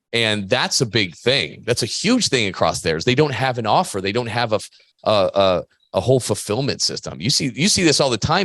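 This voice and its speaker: Over a quiet background, a man at a medium pitch talks at a fairly quick pace with very wide pitch swings. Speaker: podcast host, gym business coach. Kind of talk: casual chat.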